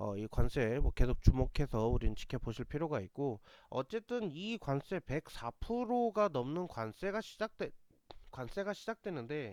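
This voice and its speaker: On a very clean recording with a silent background and a dry, close sound with no echo, a man with a fairly high pitch speaks at a moderate pace with very wide pitch swings. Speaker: stock market commentator. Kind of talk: market commentary broadcast.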